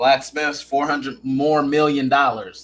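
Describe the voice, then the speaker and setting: Man with an American accent. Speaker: podcast host. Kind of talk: casual chat. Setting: live-streamed show.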